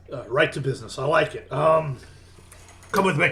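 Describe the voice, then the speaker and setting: A man puts on a gruff, raspy character voice at a fairly high pitch. He projects it loudly at a moderate pace. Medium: actual play. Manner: blunt, bossy.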